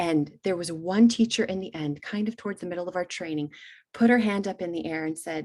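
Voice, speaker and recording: Talking at a fairly quick pace, a woman with fairly low pitch shows ordinary pitch variation and big swings in loudness. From Texas (Kingwood, Houston area), Hungarian-born. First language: Hungarian. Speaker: author and teacher trainer. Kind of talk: webinar presentation. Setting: online webinar.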